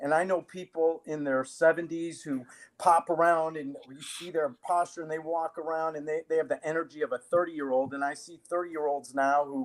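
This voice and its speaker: An unremarkable speaking voice moves at a fairly quick pace with hardly any pauses. Intonation is fairly even, while loudness swings widely. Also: man, fairly high pitch for a man. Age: 60s. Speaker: fitness and self-defense trainer. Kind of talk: live-streamed interview.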